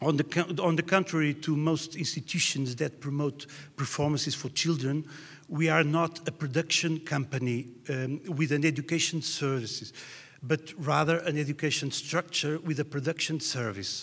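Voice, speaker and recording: With a Portuguese accent, a man speaks at a moderate pace in a fairly high pitch. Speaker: music educator. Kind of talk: presentation read from notes. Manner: halting.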